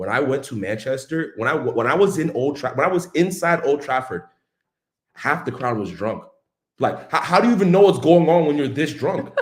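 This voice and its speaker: A man with an American accent speaks at a fairly quick pace in an animated tone. His voice is somewhat breathy, with a fairly high pitch and lively intonation. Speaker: football fan channel host. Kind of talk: casual chat. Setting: live stream.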